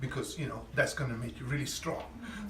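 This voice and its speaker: This man's voice sits fairly high in pitch. Noticeable background noise runs under the recording. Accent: Italian. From Italy. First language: Italian. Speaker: chef. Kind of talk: cooking masterclass talk. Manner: casual, hesitant.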